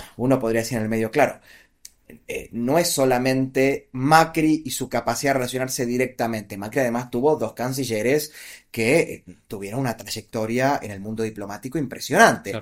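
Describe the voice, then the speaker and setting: Ordinary pitch variation marks a plain, everyday voice at a fairly quick pace. Everything is very clean, and the background is silent. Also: man, medium pitch for a man. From Argentina, Buenos Aires province. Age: 40s. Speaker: political analyst and author. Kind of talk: interview conversation.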